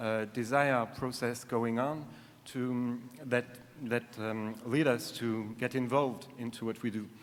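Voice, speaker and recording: At a fairly slow pace, a man talks in a medium pitch with monotone, flat intonation. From France (Paris). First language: French. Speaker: conference audience member asking a question. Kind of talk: Q&A question. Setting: conference hall. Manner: halting, many fillers.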